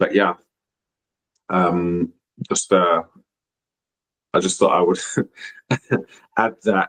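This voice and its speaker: A man with an English accent speaks at a fairly slow pace with long, frequent pauses, in a dry, close sound with no echo. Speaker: youth soccer coach and podcast co-host. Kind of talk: casual discussion. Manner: many fillers (um, you know).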